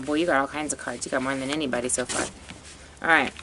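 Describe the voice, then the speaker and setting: There is noticeable background noise as a woman speaks with a very deep, low pitch and fairly even intonation. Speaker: psychic tarot reader. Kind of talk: tarot reading monologue. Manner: fast; halting with fillers.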